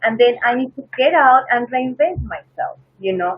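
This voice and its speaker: Lively intonation at a moderate pace. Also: woman. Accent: Peruvian. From Peru. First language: Spanish. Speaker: flight attendant. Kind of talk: interview.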